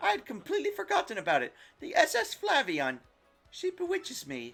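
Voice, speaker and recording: A man performs a strained, put-on character voice at a moderate pace. Music plays in the background. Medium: game stream. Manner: grandiose, theatrical.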